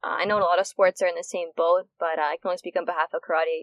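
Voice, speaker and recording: A woman with a Canadian accent speaks at a very fast pace with fairly even intonation. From Canada. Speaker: karate athlete. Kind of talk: casual interview.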